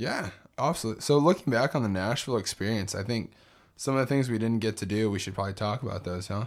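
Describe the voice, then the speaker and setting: The recording is very clean with a silent background. A man with a medium pitch and ordinary pitch variation speaks at a very fast pace. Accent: American. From Texas, San Benito (Rio Grande Valley). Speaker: travel podcast co-host. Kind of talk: casual chat. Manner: animated.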